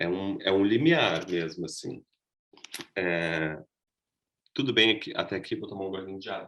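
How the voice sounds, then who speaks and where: Very wide pitch swings at a moderate pace. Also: man. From southern Brazil, Rio Grande do Sul (Gravataí). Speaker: costume designer and actor teaching a workshop. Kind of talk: online workshop lecture.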